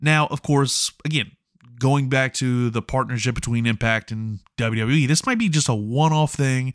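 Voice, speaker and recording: An unremarkable speaking voice from a man, medium in pitch with ordinary pitch variation, at a moderate pace, in a dry, close sound with no echo and a very clean recording with a silent background. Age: 30s. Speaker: pro wrestling podcast host. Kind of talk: solo podcast commentary.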